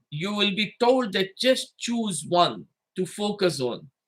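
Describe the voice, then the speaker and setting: A man speaks in a raised, projected voice. His pitch is high and his tone bright and sharp. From Fiji. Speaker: imam and Islamic scholar. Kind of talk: livestreamed religious lecture.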